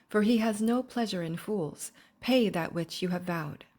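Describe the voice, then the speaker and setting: On a very clean recording with a silent background, a woman speaks at a moderate pace and medium pitch. Her intonation is lively, and she has an unremarkable speaking voice. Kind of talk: scripture reading.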